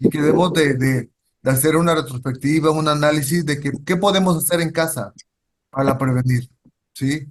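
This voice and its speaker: Somewhat breathy, a man with a fairly high pitch talks at a moderate pace with fairly even intonation. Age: 60s. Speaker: social worker. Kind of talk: lecture. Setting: video call. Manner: halting.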